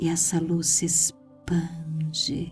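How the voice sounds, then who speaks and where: With music in the background, a soft-spoken woman speaks at a very deep, low pitch in a calm tone with monotone, flat intonation. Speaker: hypnotherapist. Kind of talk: guided sleep hypnosis. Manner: soft, calm.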